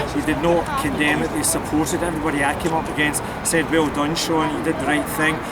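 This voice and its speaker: Fairly quick speech in a Glasgow accent, with audible room echo and crowd noise in the background. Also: man. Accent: Scottish (Glasgow). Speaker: political activist. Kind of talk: interview. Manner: animated.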